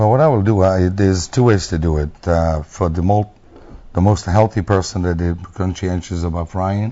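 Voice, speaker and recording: The man speaks with an Italian accent in a very deep, low pitch. His pitch variation is ordinary. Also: moderate pace. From Italy. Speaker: restaurant owner. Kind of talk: TV interview.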